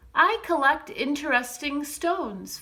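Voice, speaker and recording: A woman puts on a character voice, high-pitched and raised to project, with lively intonation. She delivers it at a fairly slow pace. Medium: read story. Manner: timid.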